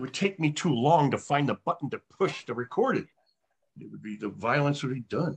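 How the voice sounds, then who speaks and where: With a somewhat breathy, fairly high-pitched voice, a man speaks at a fairly quick pace with lively intonation, in a dry, close sound with no echo. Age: 60s. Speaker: actor. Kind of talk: casual chat.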